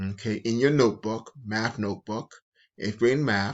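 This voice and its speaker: A man's fairly low voice with ordinary pitch variation, at a fairly slow pace. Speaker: middle school math teacher. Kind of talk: tutorial. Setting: recorded video lesson.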